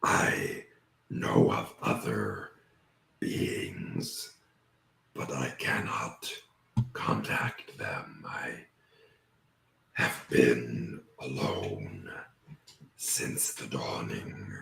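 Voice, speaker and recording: In a put-on character voice, the speaker talks at a very slow pace with long, frequent pauses, and a slight echo can be heard. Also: man. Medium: actual play. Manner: slow, formal, archaic speech; often chuckling.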